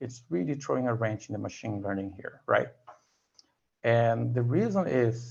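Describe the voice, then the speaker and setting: Speaking at a moderate pace with long, frequent pauses, a man uses a somewhat breathy voice of medium pitch with lively intonation. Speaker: tutorial presenter. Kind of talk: tutorial.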